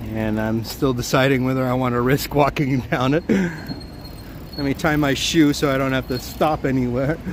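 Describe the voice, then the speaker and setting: Over noticeable background noise, a man at a medium pitch keeps a moderate pace with hardly any pauses and fairly even intonation. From southwestern Ontario, Canada. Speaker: live-stream walking vlogger. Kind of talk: live stream walking vlog, casual chat. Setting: outdoors walking on city streets.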